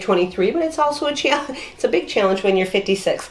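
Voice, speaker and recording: Amid noticeable background noise, a woman speaks at a fairly high pitch with lively intonation. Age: 50s. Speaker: wellness youtuber. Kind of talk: casual chat.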